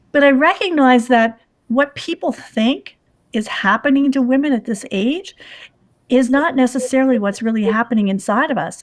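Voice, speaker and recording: In a very clean recording with a silent background, a woman with a normal speaking voice talks at a moderate pace and a fairly high pitch. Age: 60s. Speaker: PR strategist and patient advocate. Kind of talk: podcast interview.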